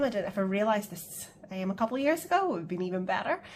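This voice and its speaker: A woman is speaking. She has a Northern Irish accent. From Northern Ireland. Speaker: budgeting vlogger. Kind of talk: casual chat. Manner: hesitant, many fillers.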